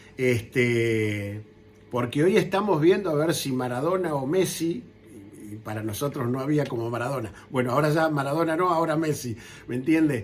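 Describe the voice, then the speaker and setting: Audible room echo surrounds a man with a fairly high voice. He speaks at a moderate pace with lively intonation. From Argentina. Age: 60s. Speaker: war veteran. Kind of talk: interview.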